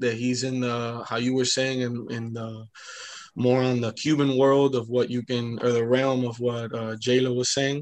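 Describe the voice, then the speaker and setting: With noticeable background noise behind it, the voice moves at a moderate pace in a monotone, flat intonation. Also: man, medium pitch for a man. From Miami (Hialeah), Florida. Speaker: rapper and music producer. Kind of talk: casual interview chat.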